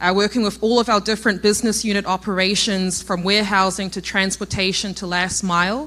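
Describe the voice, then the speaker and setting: In a New Zealand accent, a woman talks at a fairly quick pace with a medium pitch and a bright, sharp tone. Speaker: logistics innovation executive. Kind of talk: conference talk.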